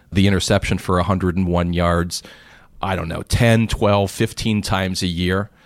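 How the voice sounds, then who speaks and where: A man with an American accent talks in a very deep, low register, captured in a very clean recording against a silent background. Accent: Pittsburgh accent mostly suppressed. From US, Pittsburgh. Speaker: investment educator and author. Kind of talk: interview conversation. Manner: halting with repeated starts.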